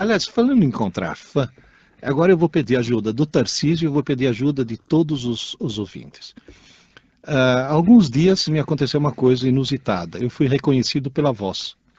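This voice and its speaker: A man's fairly high, somewhat breathy voice with a dark, mellow tone, lively intonation and a moderate pace, over a quiet background. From Italy. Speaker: radio co-host, teacher. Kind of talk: casual radio chat.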